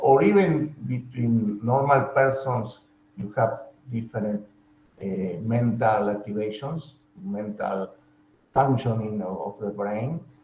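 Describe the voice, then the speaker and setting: This man has a Spanish accent and a medium pitch. He speaks at a fairly slow pace. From Argentina. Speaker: professor. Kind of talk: lecture. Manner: halting.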